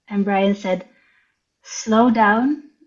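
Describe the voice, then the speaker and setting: Speaking very slowly, a woman with a Dutch accent has a fairly high-pitched voice. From Netherlands. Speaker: writer and visual artist. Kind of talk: interview storytelling. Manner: hesitant.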